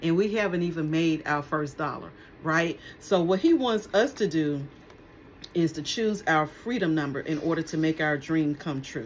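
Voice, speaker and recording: Talking at a fairly slow pace, a woman with a normal speaking voice uses lively intonation. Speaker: vlogger. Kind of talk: casual vlog talk to camera.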